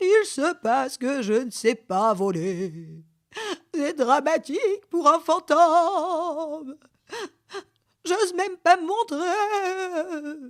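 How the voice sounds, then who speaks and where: A woman's put-on character voice at an extremely high pitch, very slow, with long, frequent pauses. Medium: read story. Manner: tearful.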